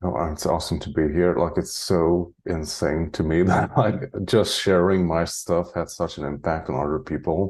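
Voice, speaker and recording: A man with a Hungarian accent and a very deep, low pitch, ordinary pitch variation, a moderate pace with hardly any pauses, and a quiet background. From Hungary (Transylvania). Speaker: spiritual channeler. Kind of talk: interview conversation. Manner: casual, many filler likes.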